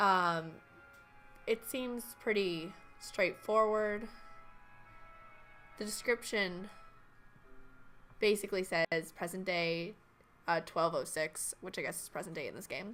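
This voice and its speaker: Music plays in the background. A woman speaks with a medium pitch and ordinary pitch variation. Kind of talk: let's play commentary.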